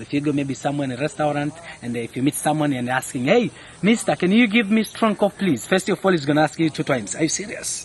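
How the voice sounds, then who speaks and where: Very fast, lively speech from a man with a fairly high pitch, amid noticeable background noise. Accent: East African. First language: Swahili. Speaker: spice farm tour guide. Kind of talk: guided tour explanation. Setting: outdoors on a spice farm.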